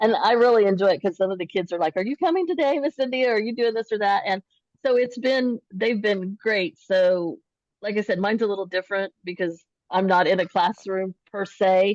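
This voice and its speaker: A woman talks at a fairly quick pace in a normal speaking voice, medium in pitch with ordinary pitch variation. The sound is dry and close, with no echo. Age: 50s. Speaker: paraprofessional and teacher candidate. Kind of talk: webinar panel talk.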